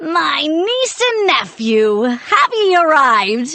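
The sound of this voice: A put-on character voice at a fairly slow pace, with very wide pitch swings. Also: woman, high pitch for a woman.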